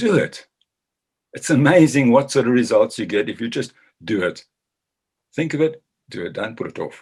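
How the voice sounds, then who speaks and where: Using a fairly high pitch with vocal fry, a man speaks at a moderate pace with lively intonation, long, frequent pauses, and big swings in loudness. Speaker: business chamber chairman, former agricultural journalist. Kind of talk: short talk.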